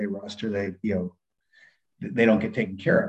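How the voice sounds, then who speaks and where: A man with an American accent, talking at a very fast pace. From San Diego, California. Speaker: retired Navy SEAL, firearms instructor. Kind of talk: interview.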